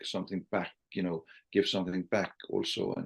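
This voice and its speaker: A man speaks with an Icelandic accent. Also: quiet background. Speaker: sales trainer and author. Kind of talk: podcast interview. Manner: halting, repeats words.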